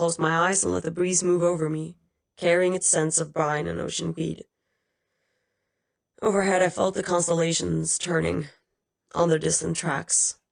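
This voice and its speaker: A woman does a put-on character voice that is raspy and fairly low-pitched. She delivers it in a flat monotone at a moderate pace. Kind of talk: audiobook reading. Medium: read story.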